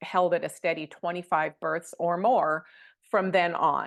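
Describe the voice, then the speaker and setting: In a plain, everyday voice, a woman speaks at a moderate pace with fairly even intonation and a fairly low pitch against a quiet background. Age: 60s. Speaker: doula trainer and childbirth educator. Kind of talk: vlog monologue. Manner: casual.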